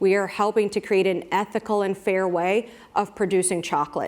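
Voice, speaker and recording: Speaking with an American accent, a woman uses a normal speaking voice at a medium pitch and a moderate pace. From United States. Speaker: brand marketing executive. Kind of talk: panel talk.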